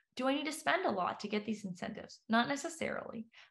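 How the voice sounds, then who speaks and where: A woman talks at a fairly quick pace in a somewhat breathy voice. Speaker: professor. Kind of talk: webinar presentation. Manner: fast.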